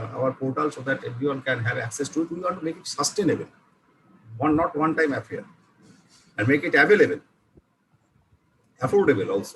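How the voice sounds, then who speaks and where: Speaking in an Indian accent with a fairly high pitch, a man races at a very fast pace with lively intonation, broken by long, frequent pauses. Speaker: university vice chancellor. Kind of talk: online seminar address. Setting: online video session. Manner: halting, many fillers.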